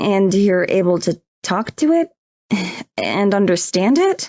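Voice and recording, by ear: A woman's put-on character voice, medium in pitch and slightly mellow in tone, with big pitch swings and a slow pace.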